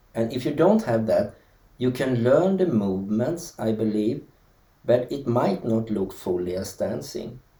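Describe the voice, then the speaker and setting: A man at medium pitch with a Swedish accent, a somewhat breathy voice, a dark, mellow tone and a fairly slow pace. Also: lively intonation. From Sweden. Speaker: dancer. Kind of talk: interview. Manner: halting.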